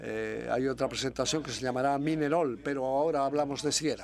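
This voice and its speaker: The speaker is a man with a fairly high pitch. He talks at a moderate pace with fairly even intonation. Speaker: university researcher. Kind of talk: conference presentation. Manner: hesitant, many fillers.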